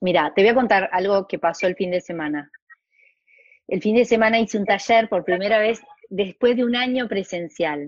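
Talking at a moderate pace, a woman with an ordinary speaking voice keeps a medium pitch and ordinary pitch variation. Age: 50s. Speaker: family constellations facilitator and school director. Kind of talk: casual chat.

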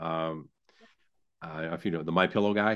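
Against a quiet background, a man talks with an American accent. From upstate New York. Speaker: barbecue sauce business owner. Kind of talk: interview. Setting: remote call. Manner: halting, many fillers.

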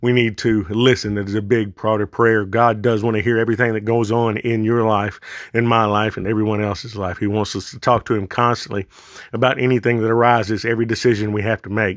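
Man with a Southern US accent, fairly low-pitched and monotone, flat in intonation, at a very fast pace. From US South. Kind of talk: monologue, religious podcast talk. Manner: halting, informal.

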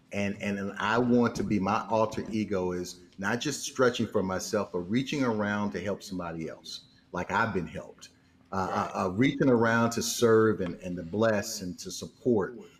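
Here a man uses a normal speaking voice with a fairly low pitch. He keeps a moderate pace and ordinary pitch variation. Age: 50s. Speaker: financial mentor and speaker. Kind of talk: casual interview.

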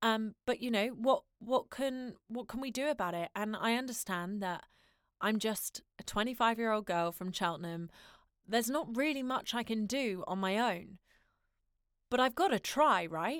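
In dry, close sound with no echo, a woman with an ordinary speaking voice talks at a fairly slow pace and a fairly high pitch. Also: lively intonation. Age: 20s. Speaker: podcast host, voiceover artist and actor. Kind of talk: solo podcast monologue.

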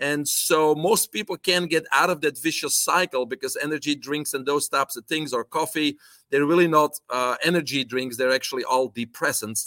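In a Belgian accent, a man speaks at a fairly quick pace and fairly high pitch with a bright, sharp tone and ordinary pitch variation, recorded dry and close with no echo in a very clean recording with a silent background. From Belgium. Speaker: health coach and supplement entrepreneur. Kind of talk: interview.

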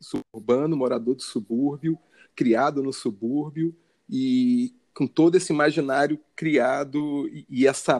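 A man with a Carioca accent, fairly high-pitched, speaking at a very slow pace, in a dry, close sound with no echo. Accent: carioca Brazilian Portuguese. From Rio de Janeiro, north zone suburbs. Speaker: photographer and visual artist. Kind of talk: interview conversation. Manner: halting, many repetitions.

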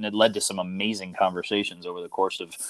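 A man with fairly low pitch talks at a very fast pace. The sound is dry and close with no echo. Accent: American. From US Midwest, northern Illinois. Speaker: basketball coach. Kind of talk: casual interview.

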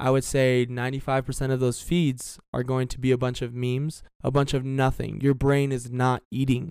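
A man with an American accent speaks at a moderate pace and medium pitch. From South Florida. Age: 20s. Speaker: financial trader and trading educator. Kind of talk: casual chat.

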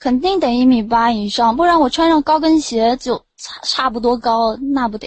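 Talking at a moderate pace, a woman with a high pitch barely pauses. Her pitch varies in an ordinary way. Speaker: caller on late-night voice chat show. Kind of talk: casual chat. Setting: online voice chat room.

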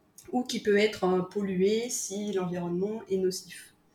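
A woman speaks in a medium pitch, somewhat breathy. Her intonation is fairly even. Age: 40s. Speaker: creative workshop founder. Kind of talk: interview. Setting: remote call. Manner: hesitant.

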